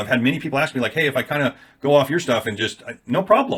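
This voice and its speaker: A fairly high male voice, very rapid, with lively intonation. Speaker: affiliate marketer, YouTuber. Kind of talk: casual talking-head video. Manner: fast.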